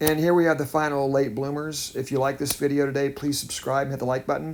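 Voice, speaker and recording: A man talks very fast with an American accent. His intonation is monotone and flat. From United States. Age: 50s. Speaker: artist and art teacher. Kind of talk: unscripted art tutorial voiceover. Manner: halting, stammers at times; calm, reflective.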